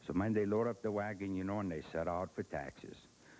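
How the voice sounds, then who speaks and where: With a dark, mellow tone, a man speaks at a fairly quick pace with ordinary pitch variation. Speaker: humorist, storyteller. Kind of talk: comic storytelling. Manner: high-energy.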